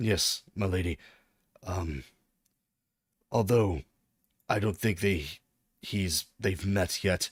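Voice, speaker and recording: A man's put-on character voice, raspy and very deep and low, at a very slow pace with long, frequent pauses, in a dry, close sound with no echo. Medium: actual play. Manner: formal, deferential.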